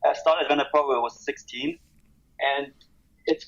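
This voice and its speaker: A man is speaking. He has a German accent. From Germany. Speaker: skate brand owner. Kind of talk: podcast interview. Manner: halting.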